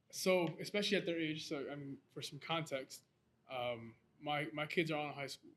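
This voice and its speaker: In a plain, everyday voice, a man with an American accent talks at a moderate pace, with a fairly high pitch and ordinary pitch variation. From US Northeast, Lawrence, Massachusetts. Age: 20s. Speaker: photographer and photography teacher. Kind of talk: casual chat.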